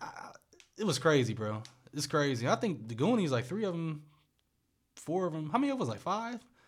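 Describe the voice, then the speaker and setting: At a fairly quick pace, a fairly high-pitched man talks with very wide pitch swings and long, frequent pauses. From US Midwest, Akron, Ohio. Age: 20s. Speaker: podcast host. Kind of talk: casual chat.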